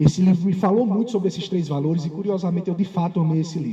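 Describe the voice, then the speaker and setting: A man with a Paraíba accent speaks at a high pitch. Noticeable background noise is present. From Paraíba, Campina Grande (Brazil). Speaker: lawyer and law professor, keynote speaker. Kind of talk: conference keynote lecture. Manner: animated.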